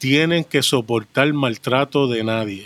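A man's medium-pitched voice at a fairly slow pace, with ordinary pitch variation and a dry, close sound with no echo. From Puerto Rico, with childhood in Brooklyn, New York. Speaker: podcast guest, special effects industry worker. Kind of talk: casual interview with personal testimony.

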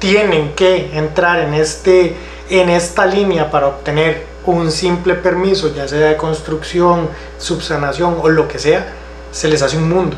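A man with a high pitch at a moderate pace, amid audible room echo and noticeable background noise. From Costa Rica, Santa Ana. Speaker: council candidate. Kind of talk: political interview.

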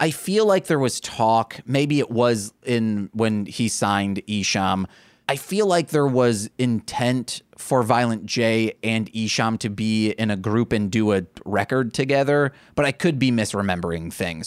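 An ordinary speaking voice comes at a fairly slow pace with very even loudness. The recording is very clean, with a silent background and a dry, close sound with no echo. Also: man, medium pitch for a man, ordinary pitch variation. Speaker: podcast host. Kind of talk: casual banter podcast chat.

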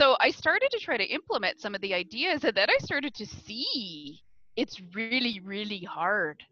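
Very wide pitch swings in a bright, sharp tone. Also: woman, fairly high pitch for a woman, moderate pace. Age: 50s. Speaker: coaching client working on eating habits. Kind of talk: personal coaching conversation.

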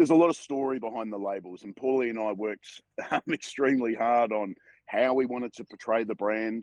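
A man with an Australian accent speaks at a fairly quick pace and medium pitch, with ordinary pitch variation. His loudness swings widely, and the sound is dry and close with no echo. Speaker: wine brand co-founder. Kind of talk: casual interview. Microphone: internet connection cutting in and out.

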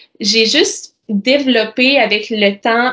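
This woman speaks with a Quebec accent at a fairly high pitch, her pitch varying in an ordinary way. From Quebec, Bas-Saint-Laurent (Amqui). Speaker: nurse and nonprofit founder. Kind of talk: interview conversation.

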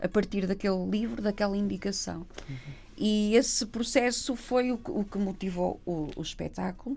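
A woman at a moderate pace, medium pitch, ordinary pitch variation. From northern Portugal, Gaia/Porto. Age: 40s. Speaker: theatre artist and Roma activist. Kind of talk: interview conversation. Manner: halting, many repetitions.

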